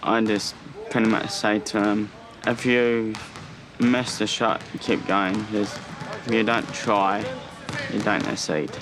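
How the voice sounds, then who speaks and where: Speaking very slowly with long, frequent pauses, a man with a New Zealand accent and fairly low pitch keeps a fairly even intonation and very even loudness, over noticeable background noise and audible room echo. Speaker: Special Olympics athlete and father. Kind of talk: documentary interview.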